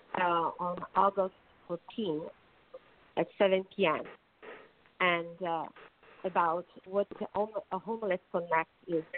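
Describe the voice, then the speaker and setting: A woman with an Italian accent, fairly low in pitch, flat and monotone, with long, frequent pauses. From Naples, Italy. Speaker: attorney and nonprofit president. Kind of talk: radio interview.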